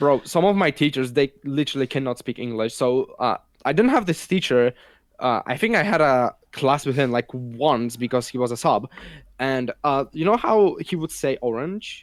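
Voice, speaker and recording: Recorded dry and close with no echo, a man with a Polish accent talks at a moderate pace. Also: fairly high pitch for a man, ordinary pitch variation. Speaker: podcast co-host. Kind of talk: casual chat.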